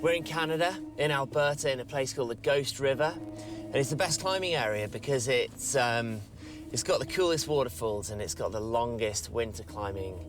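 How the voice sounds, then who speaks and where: Here is a man with an English accent and an enthusiastic tone. He moves at a fairly quick pace with lively intonation over noticeable background noise. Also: medium pitch for a man. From England, London. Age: 40s. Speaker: ice climber. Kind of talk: interview.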